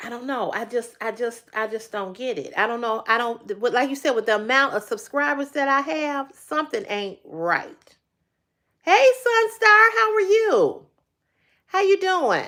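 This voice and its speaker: A woman with a high pitch uses a raised, projected voice and very wide pitch swings. Her tone is bright and sharp. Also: fairly slow pace. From Chicago, South Side. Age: 50s. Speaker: YouTube live streamer. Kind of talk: casual live stream chat. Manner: halting, repetitive.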